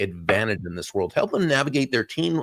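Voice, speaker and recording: A man speaks with lively intonation in a plain, everyday voice. The sound is dry and close, with no echo. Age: 60s. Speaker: talk show host. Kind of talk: guest introduction; casual chat.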